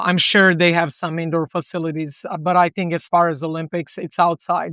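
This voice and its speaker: A woman's fairly low, monotone, flat voice with a Serbian accent, at a fairly quick pace. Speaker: volleyball coach. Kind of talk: podcast interview.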